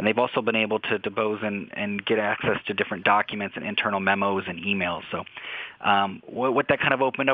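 A man speaks in a plain, everyday voice. His pitch sits fairly low, and his pace is fairly quick. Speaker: newspaper reporter. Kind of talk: interview.

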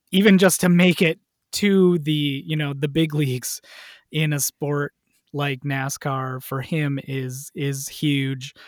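A man with an American accent uses an ordinary speaking voice at a fairly high pitch with fairly even intonation. The sound is dry and close with no echo, on a very clean recording with a silent background. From Wisconsin, US Midwest. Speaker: writer and sports fan. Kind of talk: casual chat.

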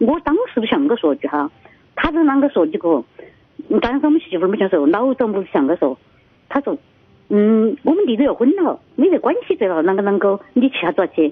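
Speaking at a fairly quick pace, a woman uses a fairly high pitch with very wide swings and very even loudness, while noticeable background noise sits behind her. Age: 60s. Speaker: caller to radio advice show. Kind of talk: phone-in call. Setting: phone call. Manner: halting.

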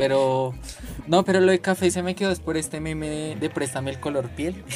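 The delivery is fairly quick. Noticeable background noise runs behind it. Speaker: podcast host. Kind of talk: casual chat.

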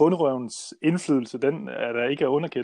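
The speech runs at a moderate pace with ordinary pitch variation. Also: man. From central Jutland, Denmark. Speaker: small-scale farmer. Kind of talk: interview. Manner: hesitant, many fillers.

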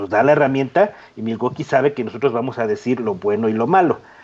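A man talks very fast, his medium pitch moving with ordinary variation. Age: 40s. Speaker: podcast co-host, woodworking YouTuber. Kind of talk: casual chat. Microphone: poor microphone.

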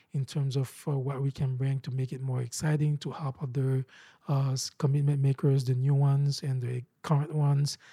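A man speaks with a somewhat breathy, dark, mellow tone at a fairly high pitch, in a monotone, flat delivery at a moderate pace. The recording is very clean with a silent background and a dry, close sound with no echo. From Haiti. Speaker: nonprofit founder. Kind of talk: interview. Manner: halting.

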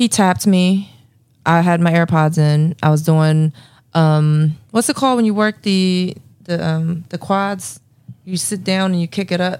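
In an American accent, a normal speaking voice moves at a fairly slow pace with ordinary pitch variation. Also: woman, fairly low pitch for a woman. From Philadelphia. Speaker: podcast co-host. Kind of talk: casual chat.

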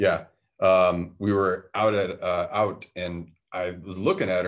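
Here is a man with a Midwestern American accent and a very deep, low pitch. The background is quiet. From Detroit, Michigan. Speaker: host's husband. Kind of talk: casual chat.

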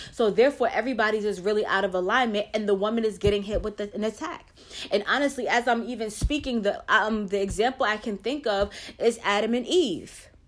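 Speaking in an animated tone, a woman with a fairly high pitch uses ordinary pitch variation over noticeable background noise. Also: fairly quick pace. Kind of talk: faith-based talk.

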